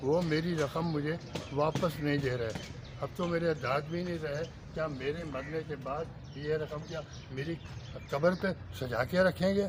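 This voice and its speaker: Against noticeable background noise, a man with a fairly high pitch speaks in fairly even intonation, taking long, frequent pauses. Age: 70s. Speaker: retired telecom employee, protester. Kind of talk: street interview at protest, emotional appeal. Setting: outdoor protest in front of press club.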